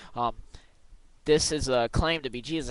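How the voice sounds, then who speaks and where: Mumbling male speech at a fairly quick pace with fairly even intonation. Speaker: video blogger responding to another video. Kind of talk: video response, casual argument. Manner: halting, stuttering.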